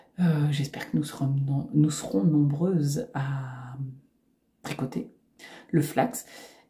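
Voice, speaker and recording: Music plays behind a woman whose voice is very deep and low for a woman. She speaks very slowly with long, frequent pauses and lively intonation. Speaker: knitting youtuber. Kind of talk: tutorial; casual chat. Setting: home recording facing computer. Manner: hesitant, many fillers.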